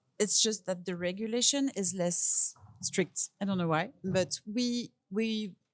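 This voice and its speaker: Very slowly, a woman with a French accent speaks at medium pitch with ordinary pitch variation. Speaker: perfumer. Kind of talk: interview. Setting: perfume fair in Paris. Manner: halting.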